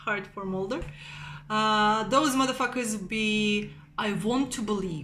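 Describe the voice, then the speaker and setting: Audible room echo surrounds a woman speaking at a very slow pace in a Slavic accent. Her fairly high voice has a bright, sharp tone and ordinary pitch variation. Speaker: amateur astrology video maker. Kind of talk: casual satirical monologue. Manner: hesitant, many fillers.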